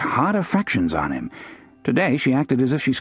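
This reading aloud is plain, yet its intonation is lively.

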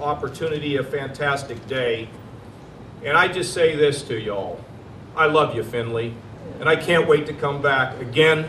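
At a moderate pace, a man speaks with ordinary pitch variation, audible room echo and light background noise around him. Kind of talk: public speech. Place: street. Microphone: podium.

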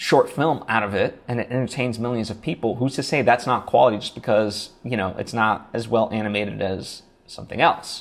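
A man talks at a fairly quick pace with hardly any pauses. His pitch variation is ordinary. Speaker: podcasting coach. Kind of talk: tutorial. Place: home room. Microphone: lapel.

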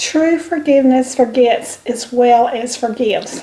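With a Southern US accent, a woman speaks fairly slowly in a high voice. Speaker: YouTube channel co-host. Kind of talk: devotional reading. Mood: calm, gentle, hesitant. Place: kitchen. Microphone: camera far.

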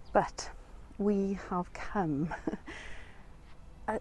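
A woman is speaking over light background noise. The sound is dry, with no echo. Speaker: travel vlogger. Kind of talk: casual vlog chat. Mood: delighted, calm. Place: open country. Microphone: lapel.

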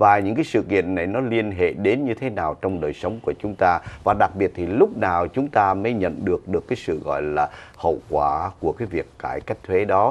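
A man with an unremarkable speaking voice talks at a moderate pace with hardly any pauses. His pitch is fairly low, with ordinary pitch variation. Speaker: TV show host. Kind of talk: news commentary. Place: studio. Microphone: lapel.

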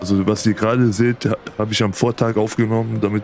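There is music behind the speaker. He is a man talking at a moderate pace. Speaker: let's play commentator. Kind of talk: gameplay commentary. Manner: casual, hesitant with fillers.

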